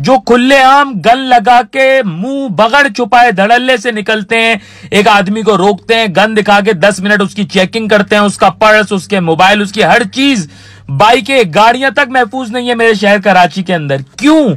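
This man's pitch is high, with ordinary pitch variation, and he speaks at a fairly slow pace in a dry sound with no echo. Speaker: vlogger giving his opinion. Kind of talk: angry opinion rant to camera. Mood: angry, indignant. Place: car. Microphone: phone near.

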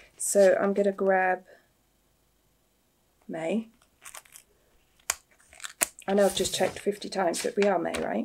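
Slowly and with long, frequent pauses, a woman at medium pitch speaks with vocal fry, fairly even intonation, a slightly husky edge and a slightly mellow tone.

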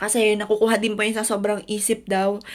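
A woman's fairly high voice against a quiet background. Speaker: vlogger. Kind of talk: personal testimony vlog. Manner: loud at times. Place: home room. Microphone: phone near.

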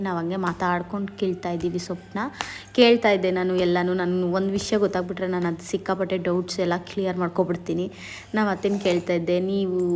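Monotone, flat intonation in a woman's medium-pitched voice. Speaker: vlogger. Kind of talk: travel vlog narration. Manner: casual, chatty.

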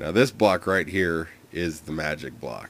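A man with a very deep, low pitch and vocal fry talks at a fairly slow pace. His pitch varies in an ordinary way. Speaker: gaming video creator. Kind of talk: tutorial. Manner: hesitant, many fillers.

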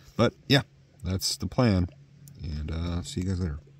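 Somewhat breathy, a man's very deep, low voice moves at a moderate pace, the sound dry with no echo. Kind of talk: casual vlog chat. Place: tent. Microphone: phone near.

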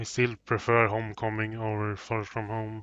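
Speaking at a fairly slow pace, a man talks. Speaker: gaming commentator. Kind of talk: let's play commentary. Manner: halting, stammering.

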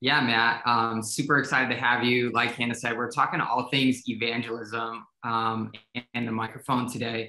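A man's bright, sharp voice in a flat monotone at a moderate pace, with audible room echo and a quiet background. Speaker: ministry director and show host. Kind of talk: casual chat. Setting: video call. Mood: upbeat and friendly. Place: home room. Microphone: video call.

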